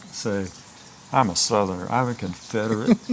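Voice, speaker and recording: Over noticeable background noise, a man speaks at a moderate pace in a fairly low voice. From Virginia, US South. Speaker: singer-songwriter. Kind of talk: casual chat.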